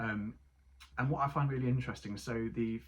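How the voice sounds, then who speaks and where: A man with an Essex accent talks at a moderate pace in a medium pitch, his voice somewhat breathy. His pitch varies in an ordinary way. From Essex, England. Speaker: book reviewer. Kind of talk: casual book review. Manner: hesitant, many ums.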